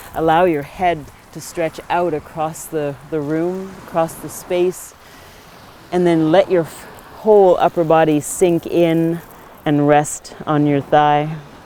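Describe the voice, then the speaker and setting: A woman talks at a very slow pace in a fairly low voice with monotone, flat intonation. Noticeable background noise runs underneath. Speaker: yoga teacher. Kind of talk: guided yoga class instruction. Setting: outdoors by the ocean.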